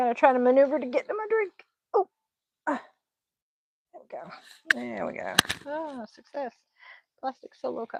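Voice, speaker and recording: A woman with an American accent speaks at a high pitch and a moderate pace, with lively intonation and big swings in loudness. She leaves long, frequent pauses, and the sound is dry and close with no echo. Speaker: craft YouTuber. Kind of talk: casual livestream chat. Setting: late-night livestream.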